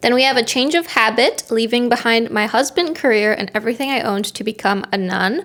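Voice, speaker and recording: A woman speaks at a fairly quick pace with a non-native accent and an animated tone. Her pitch sits fairly high, with ordinary variation. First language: not English. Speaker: book reviewer. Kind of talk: casual chat.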